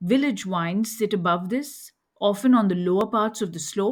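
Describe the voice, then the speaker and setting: Somewhat breathy, a woman speaks in an Indian accent at medium pitch with ordinary pitch variation. The recording is very clean, with a silent background. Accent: Indian accent, affects French names. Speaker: wine educator podcast host. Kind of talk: scripted lecture.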